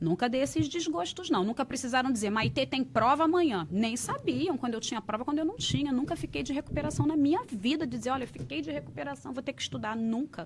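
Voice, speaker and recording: A woman speaks at a fairly quick pace. Her voice has very wide pitch swings. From Rio de Janeiro, Brazil (Realengo). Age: 40s. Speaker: entrepreneur, English school owner. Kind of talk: podcast interview.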